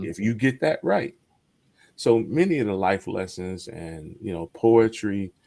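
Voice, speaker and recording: A plain, everyday voice from a man, fairly low in pitch, with lively intonation and big swings in loudness, at a fairly slow pace, on a very clean recording with a silent background. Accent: American. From Detroit, Michigan. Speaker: poet; navy veteran. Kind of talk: interview answer.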